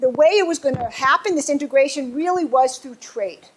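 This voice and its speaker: There is noticeable background noise. A woman with an American accent talks in a high pitch. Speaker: professor. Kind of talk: lecture. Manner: fast.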